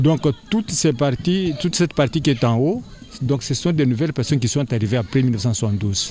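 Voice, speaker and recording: With lively intonation, a man talks at a moderate pace amid noticeable background noise. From DR Congo (Kasai). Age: 60s. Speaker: school director. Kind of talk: interview. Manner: halting.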